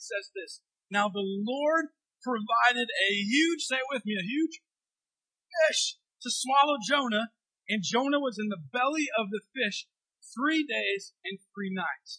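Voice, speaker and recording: A raised, projected voice with a bright, sharp tone and lively intonation comes at a fairly slow pace, the sound dry and close with no echo. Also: man. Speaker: pastor. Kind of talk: sermon. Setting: church.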